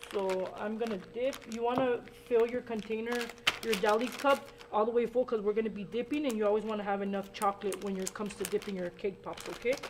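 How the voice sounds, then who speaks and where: A very fast woman's voice, fairly high-pitched, with fairly even intonation and noticeable background noise. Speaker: baking show host. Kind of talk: cooking demonstration. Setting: studio, live stream.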